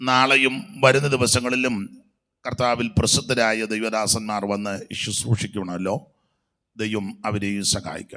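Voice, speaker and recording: The man's tone is bright and sharp, at a medium pitch. His intonation stays fairly even. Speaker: pastor. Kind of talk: sermon.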